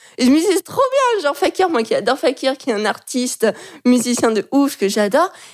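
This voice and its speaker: A woman talks at a fairly quick pace in a high pitch, her voice swinging very widely up and down while the loudness stays very even. Noticeable background noise runs underneath. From France, Lyon. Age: 20s. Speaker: illustrator and graphic designer. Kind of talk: casual interview chat.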